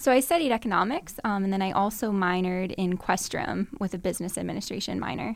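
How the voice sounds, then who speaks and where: At a very fast pace with hardly any pauses, a woman in an American accent talks with ordinary pitch variation. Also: medium pitch for a woman. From Massachusetts, Burlington near Boston. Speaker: finance research analyst. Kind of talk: interview.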